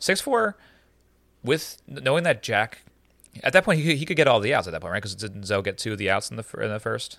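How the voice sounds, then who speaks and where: Against a silent background in a very clean recording, a man talks at a very fast pace in a bright, sharp tone with vocal fry. His pitch swings very widely and his loudness varies in big swings. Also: medium pitch for a man. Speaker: podcast host. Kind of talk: casual chat. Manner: halting.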